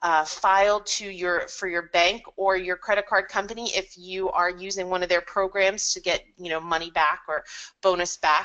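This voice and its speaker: Her voice has a bright, sharp tone at a medium pitch, and this woman keeps a monotone, flat intonation. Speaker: software consultant presenting products. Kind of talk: webinar product presentation. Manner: fast.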